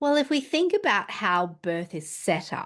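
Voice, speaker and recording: With an Australian accent, a woman speaks at a fairly slow pace with ordinary pitch variation over a quiet background. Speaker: midwife. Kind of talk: interview.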